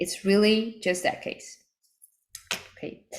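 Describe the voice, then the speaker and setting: A woman with a Dutch accent, ordinary pitch variation and a moderate pace. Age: 30s. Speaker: network marketing team leader. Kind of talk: online training call.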